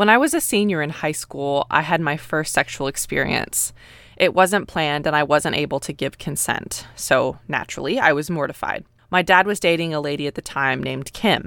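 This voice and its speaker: With an American accent, a woman speaks at a moderate pace in a very deep, low pitch with ordinary pitch variation, the recording very clean and the background silent. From US, North Texas. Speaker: podcaster. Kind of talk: personal storytelling.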